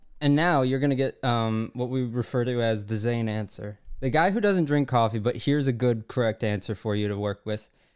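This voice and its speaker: A man talks at a fairly quick pace with hardly any pauses, in a plain, everyday voice at a medium pitch. His pitch variation is ordinary, and the recording is very clean with a silent background. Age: 20s. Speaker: comedy advice podcast co-host. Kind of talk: casual chat.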